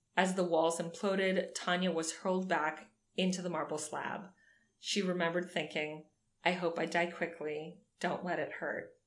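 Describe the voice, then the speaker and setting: Fairly low in pitch, a woman speaks in a monotone, flat way with audible room echo. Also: moderate pace. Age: 30s. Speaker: podcast co-host. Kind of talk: reading aloud; casual chat. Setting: in person at co-host's home.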